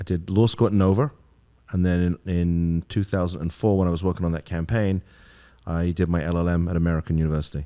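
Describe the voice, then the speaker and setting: A man with an English accent, a very deep, low pitch and a dark, mellow tone, very fast with fairly even intonation, on a very clean recording with a silent background. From England. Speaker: attorney. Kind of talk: podcast interview.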